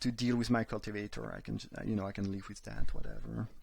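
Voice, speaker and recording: Speaking at a very fast pace, a man with a non-native accent and a medium pitch is heard in a very clean recording with a silent background. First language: not English. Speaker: card game streamer. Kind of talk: live gameplay commentary. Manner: halting, frequent repetitions.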